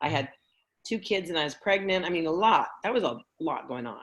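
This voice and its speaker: The intonation stays lively as this woman talks. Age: 60s. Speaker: networking group founder and host. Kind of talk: casual chat.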